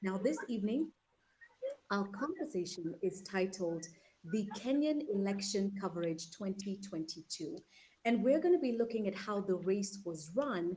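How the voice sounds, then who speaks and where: At a moderate pace, a woman speaks in a medium pitch with lively intonation and a somewhat breathy, dark, mellow tone. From Kenya. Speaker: talk show host. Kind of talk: panel show introduction. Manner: formal.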